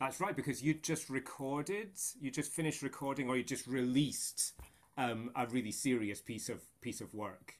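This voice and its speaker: With a Scottish accent, a man of medium pitch speaks at a moderate pace with ordinary pitch variation. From Scotland. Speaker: choral conductor and music researcher. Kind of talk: interview conversation. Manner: halting, many fillers and repetitions.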